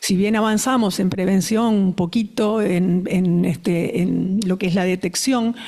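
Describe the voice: Fairly slow and fairly even in intonation, a woman speaks at a medium pitch in a dark, mellow tone.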